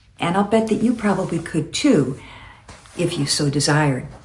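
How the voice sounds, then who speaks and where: Audible room echo surrounds a woman speaking in a somewhat breathy voice. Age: 70s. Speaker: lifestyle vlogger. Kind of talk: casual monologue. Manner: halting.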